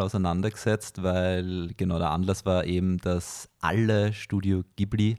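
Speaking at a fairly slow pace, a man uses a fairly low, dark, mellow voice and fairly even intonation in a very clean recording with a silent background. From Lower Austria. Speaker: radio film journalist. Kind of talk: casual chat. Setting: apartment.

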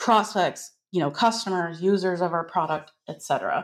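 With an American accent, a woman has a plain, everyday voice, talking at a moderate pace and medium pitch with ordinary pitch variation. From United States. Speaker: growth marketing consultant. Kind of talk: podcast interview.

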